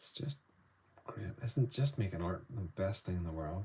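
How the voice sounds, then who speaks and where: A man with a Northern Irish accent speaks at a fairly low pitch. His voice is somewhat breathy and his pace fairly slow. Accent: Northern Irish, softer North Down. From Northern Ireland, Newtownards, North Down. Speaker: artist. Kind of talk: live painting demonstration. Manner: casual, chatty.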